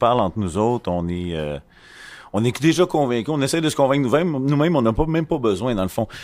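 Very fast speech comes from a man with a Quebec accent, his medium pitch making very wide swings. The recording is very clean, with a silent background. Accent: Québécois French. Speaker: association vice-president. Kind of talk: casual group discussion. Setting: makeshift studio at an event.

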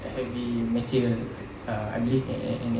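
At a moderate pace a man talks, with the room's echo audible and noticeable noise in the background. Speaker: presenter. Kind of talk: lecture. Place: hall. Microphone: podium.

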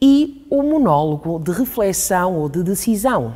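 Very wide pitch swings mark this dark, mellow voice over a quiet background. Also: woman. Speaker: actress presenting. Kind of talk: educational explainer. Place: studio. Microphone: lapel.

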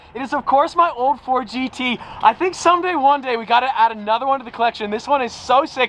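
Over noticeable background noise, a man with an extremely high pitch rattles on at a very fast pace with hardly any pauses and an animated tone. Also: ordinary pitch variation. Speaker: car vlogger. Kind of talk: casual vlog. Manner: animated, excitable.

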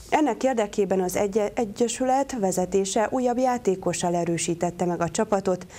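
A woman talks at a moderate pace with hardly any pauses. Her pitch varies in an ordinary way. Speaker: news anchor. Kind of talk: TV news reading. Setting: studio. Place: studio. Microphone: lapel.

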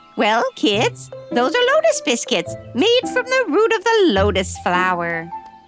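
A cartoonish character voice speaks at a fairly slow pace over clear music in the background. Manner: warm, doting, storytelling.

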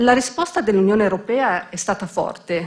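A woman speaks with lively intonation and is somewhat breathy. The background is quiet. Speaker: bank president. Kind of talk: formal opening speech. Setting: stage with audience. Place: hall. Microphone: podium.

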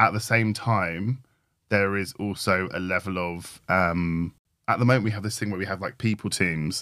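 Over a silent background in a very clean recording, a man with a British accent speaks at a moderate pace with a fairly low pitch, fairly even intonation and a bright, sharp tone. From Britain. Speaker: podcast co-host, tech design and research leader. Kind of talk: casual conversation.

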